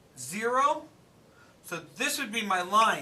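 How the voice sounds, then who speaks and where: In a room with audible echo, a man with a high pitch uses a raised, projected voice at a fairly slow pace. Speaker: math teacher. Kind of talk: classroom lecture.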